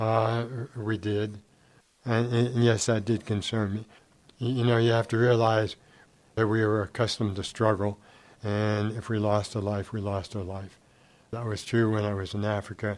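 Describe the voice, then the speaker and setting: A man's fairly low, monotone, flat voice at a moderate pace, broken by long, frequent pauses. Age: 70s. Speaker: brother of a murdered missionary. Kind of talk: testimony. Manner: halting, with fillers.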